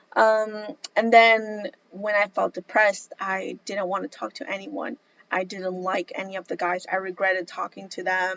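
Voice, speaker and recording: A plain, everyday voice moves at a moderate pace with ordinary pitch variation and hardly any pauses. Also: woman, medium pitch for a woman. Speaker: vlogger. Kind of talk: personal testimony vlog.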